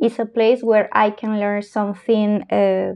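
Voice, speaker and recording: Speaking with a Spanish accent, a woman has a fairly high pitch. Her intonation stays fairly even. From Peru, Arequipa. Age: 30s. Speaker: lawyer and traveler. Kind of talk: casual interview.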